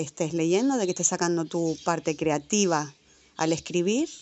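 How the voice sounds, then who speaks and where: The woman has a fairly low pitch and an unremarkable speaking voice. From Canary Islands, Tenerife. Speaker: podcast co-host. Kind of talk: spoken audio letter.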